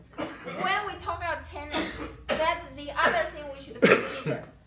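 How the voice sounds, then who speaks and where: A woman with an extremely high pitch and lively intonation at a fairly slow pace, amid noticeable background noise and audible room echo. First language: not English. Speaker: community member. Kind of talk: community meeting discussion.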